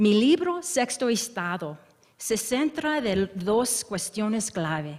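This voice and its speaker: A woman speaks very slowly with an American accent. Her pitch is fairly high. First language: English (speaking Spanish). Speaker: history professor. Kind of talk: academic lecture. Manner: halting.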